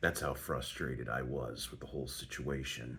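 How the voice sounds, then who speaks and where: A soft-spoken man talks at a moderate pace. There is audible room echo and music in the background. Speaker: vlogger. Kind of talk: casual monologue. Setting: hotel at night.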